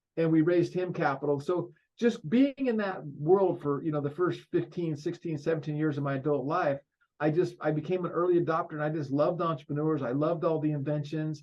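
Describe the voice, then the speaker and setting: With an American accent and an ordinary speaking voice, a man speaks fairly quickly at a fairly high pitch and with fairly even intonation. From Colorado, US. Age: 60s. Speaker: ecommerce company founder. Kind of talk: casual interview. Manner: fast, with many false starts.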